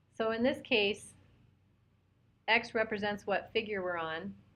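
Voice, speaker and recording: A woman with a fairly high voice talks at a moderate pace. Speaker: math teacher. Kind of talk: online webinar lesson. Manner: loud.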